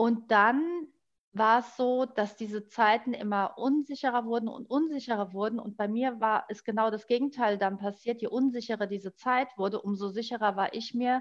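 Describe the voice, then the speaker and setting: An ordinary speaking voice from a woman at a moderate pace. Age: 40s. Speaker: life coach, formerly in travel industry. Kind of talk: personal story in interview.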